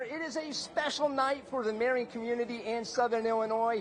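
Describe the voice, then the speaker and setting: An extremely high-pitched man at a moderate pace, with noticeable background noise. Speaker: sports reporter. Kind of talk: TV sports news reporting. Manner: energetic, broadcast-style delivery.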